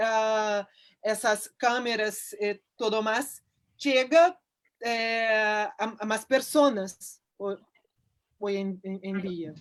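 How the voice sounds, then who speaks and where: On a very clean recording with a silent background, a woman speaks at a fairly high pitch with ordinary pitch variation. Her pace is very slow, with long, frequent pauses. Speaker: philosopher giving a talk. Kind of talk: Q&A discussion after a lecture. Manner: halting, many repetitions.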